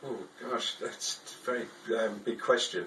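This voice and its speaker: With noticeable background noise around him, a man talks with an English accent. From England, Liverpool. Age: 60s. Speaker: artist. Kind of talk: interview. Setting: art studio. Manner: halting, many fillers.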